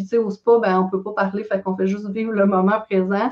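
Moderately paced, a woman at medium pitch talks with monotone, flat intonation. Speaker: real estate investor. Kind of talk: casual chat.

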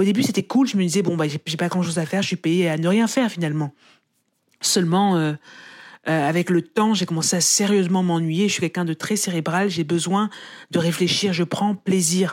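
This is a woman with an unremarkable speaking voice. She talks at a fairly quick pace with very even loudness and fairly even intonation. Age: 30s. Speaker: journalist and author. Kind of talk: testimony.

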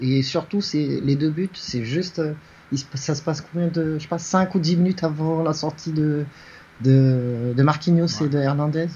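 A man speaks slowly-ish at a fairly high pitch, somewhat breathy, with fairly even intonation. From Paris region, France. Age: 40s. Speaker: fantasy football pundit. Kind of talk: casual chat. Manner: halting.

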